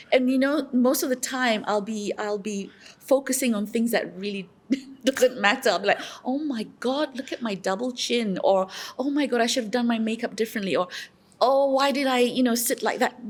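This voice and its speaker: A woman with a high voice speaks at a moderate pace, her pitch varying in an ordinary way. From London, then Malaysia. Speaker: voiceover artist and speaking coach. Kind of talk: podcast interview.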